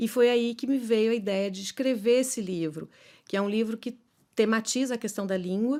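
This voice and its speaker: The recording is very clean with a silent background, capturing a woman's dark, mellow tone at a fairly high pitch. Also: ordinary pitch variation, moderate pace. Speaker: poet and philosopher. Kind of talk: interview. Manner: halting, many fillers.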